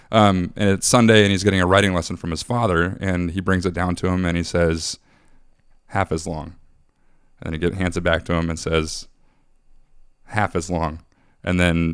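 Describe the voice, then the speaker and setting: Speaking at a fairly quick pace with long, frequent pauses, a man uses a very deep, low pitch and a flat, monotone delivery. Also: very clean recording, silent background. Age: 30s. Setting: studio.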